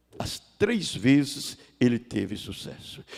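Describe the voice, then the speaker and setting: Sweeping through very wide pitch swings, a man with a fairly high pitch speaks with vocal fry. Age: 60s. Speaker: pastor. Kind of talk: sermon. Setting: church.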